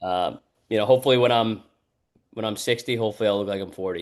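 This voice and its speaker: Against a quiet background, a man speaks at a very fast pace. His pitch is fairly low and his intonation fairly even. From New Hampshire. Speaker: college baseball head coach. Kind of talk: podcast interview. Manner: halting, many repeated words.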